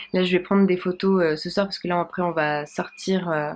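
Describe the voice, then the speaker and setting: Her intonation monotone and flat, a woman speaks at a fairly low pitch and a moderate pace. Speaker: dietitian and vlogger. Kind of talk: casual vlog. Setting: friend's home while traveling.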